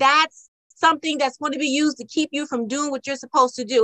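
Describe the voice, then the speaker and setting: The raised, projected voice has a bright, sharp tone and a dry, close sound with no echo. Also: woman. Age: 50s. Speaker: podcast host and home decorator. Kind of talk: interview podcast. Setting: video call.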